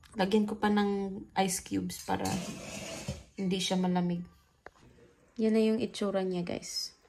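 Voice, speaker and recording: A woman speaks fairly slowly in a monotone, flat delivery, leaving long, frequent pauses. Her medium-pitched voice is somewhat breathy, with a dark, mellow tone. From Philippines, Bohol. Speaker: vlogger. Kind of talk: cooking vlog.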